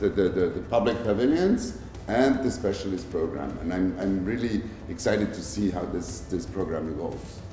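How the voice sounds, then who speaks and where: A man speaks at a fairly low pitch and a moderate pace. Room echo is audible. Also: ordinary pitch variation. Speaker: pavilion commissioner general. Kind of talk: interview conversation. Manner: loud, straightforward.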